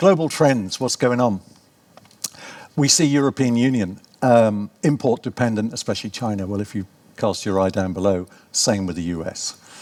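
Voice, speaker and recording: A man with a British accent talks at a moderate pace, his intonation lively. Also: medium pitch for a man. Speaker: professor. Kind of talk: conference talk.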